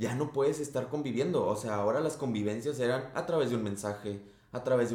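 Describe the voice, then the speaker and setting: There is audible room echo as a man speaks with ordinary pitch variation. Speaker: podcast co-host. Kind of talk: casual chat.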